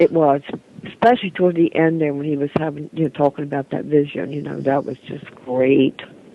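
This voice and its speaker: Amid noticeable background noise, a woman with a very deep, low pitch talks at a fairly quick pace, her loudness swinging widely and her pitch varying in an ordinary way. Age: 60s. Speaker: caller. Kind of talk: call-in talk show chat. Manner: animated.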